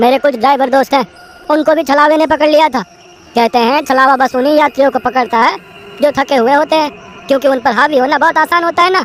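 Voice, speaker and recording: A cartoonish character voice comes through at a high pitch. It races along at a very fast pace. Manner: casual, colloquial.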